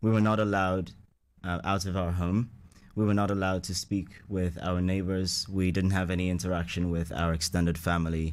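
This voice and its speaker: Monotone, flat intonation comes at a fairly quick pace on a very clean recording with a silent background. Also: man, very deep, low pitch for a man. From Ghana, Accra. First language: Ewe. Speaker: radio interview guest. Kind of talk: interview, telling life story.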